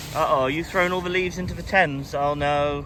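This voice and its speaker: Against noticeable background noise and audible room echo, a man with a Cornish accent speaks fairly quickly in a fairly high voice with ordinary pitch variation. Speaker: travel vlogger. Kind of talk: travel vlog narration. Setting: outdoors. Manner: casual.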